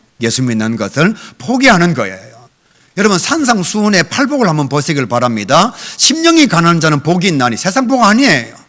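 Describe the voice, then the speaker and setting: Quick-paced but not hurried, a man speaks with a high pitch and very wide pitch swings. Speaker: guest revival preacher. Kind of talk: sermon. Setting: church. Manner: animated.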